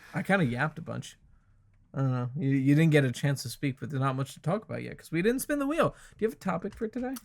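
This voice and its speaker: Rushing at a very fast pace, a man speaks with a fairly high pitch. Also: lively intonation. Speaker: podcast host. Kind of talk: casual chat. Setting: home basement. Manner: loud. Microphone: new microphone picks up everything.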